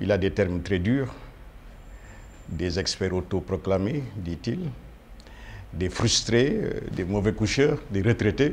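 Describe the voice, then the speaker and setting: A man speaks at a very slow pace with a fairly low pitch, ordinary pitch variation, a somewhat breathy voice, and long, frequent pauses. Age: 60s. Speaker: aviation industry expert. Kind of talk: interview. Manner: hesitant, many fillers.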